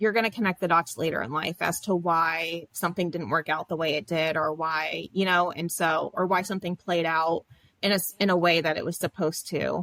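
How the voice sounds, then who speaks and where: In an American accent, a woman with an unremarkable speaking voice talks at a fairly quick pace and a fairly low pitch, the sound dry and close with no echo. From US South, Florida. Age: 30s. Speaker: social work academic. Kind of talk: interview. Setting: studio.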